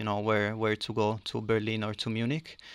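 In an Italian accent, a man with a bright, sharp tone and a medium pitch speaks at a moderate pace with monotone, flat intonation on a very clean recording with a silent background. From Italy. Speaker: podcast host. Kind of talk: interview conversation.

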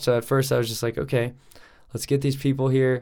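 A man with an American accent, medium pitch and fairly even intonation at a fairly quick pace, a plain, everyday voice. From Colorado, Denver area. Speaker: professional cliff diver. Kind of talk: casual chat.

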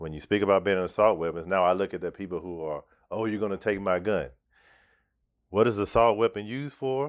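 A fairly low-pitched man at a very fast pace, ordinary pitch variation, quiet background. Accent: American. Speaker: filmmaker. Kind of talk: casual chat.

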